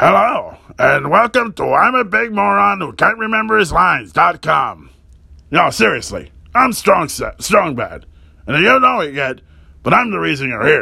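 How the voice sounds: Using a put-on character voice, a man speaks in a raised, projected voice at a high pitch. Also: moderate pace.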